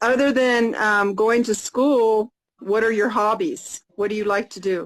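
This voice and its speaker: A woman with an American accent talks in a plain, everyday voice at a fairly high pitch, with ordinary pitch variation and a fairly slow pace. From United States. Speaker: English conversation tutor. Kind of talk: casual chat.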